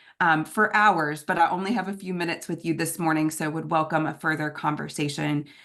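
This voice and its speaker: A woman with a very deep, low pitch and a bright, sharp tone talks at a fairly quick pace, hardly pausing. Her intonation stays fairly even against a quiet background. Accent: American. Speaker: nonprofit executive director and conference speaker. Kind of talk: conference presentation. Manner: many filler words (um, uh).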